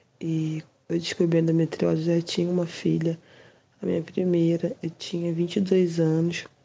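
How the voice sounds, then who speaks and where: In a flat monotone, a woman with a fairly low pitch and a dark, mellow tone talks at a moderate pace. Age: 30s. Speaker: patient. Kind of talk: testimony.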